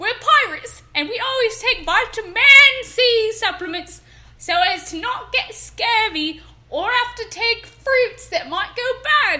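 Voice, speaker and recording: A woman uses a put-on character voice. Her pitch is extremely high and her pace fairly slow. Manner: playful.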